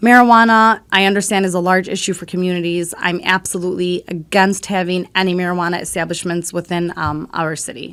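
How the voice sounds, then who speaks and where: A woman at a fairly quick pace with hardly any pauses, in a very clean recording with a silent background. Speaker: city council candidate. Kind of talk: campaign statement. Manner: loud; animated.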